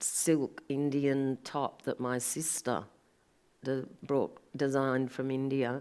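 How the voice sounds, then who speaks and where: In a very clean recording with a silent background, a woman with an Australian accent speaks very slowly in a very deep, low pitch and a monotone, flat intonation. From Sydney, Australia. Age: 60s. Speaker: artist. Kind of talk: panel conversation. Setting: gallery event with live audience.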